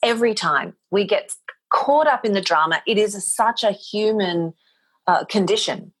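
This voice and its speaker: A woman with an Australian accent talks at a medium pitch and a fairly slow pace. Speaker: motivational speaker and voice talent. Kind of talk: podcast interview answer.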